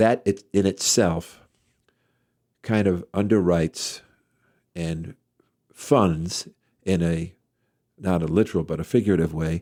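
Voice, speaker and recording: A man with an American accent speaks in a very deep, low pitch and a dark, mellow tone, with ordinary pitch variation and long, frequent pauses. The sound is dry and close with no echo, on a very clean recording with a silent background. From US Northeast, Worcester, Massachusetts. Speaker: guitarist and musician. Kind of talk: interview. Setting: home interview.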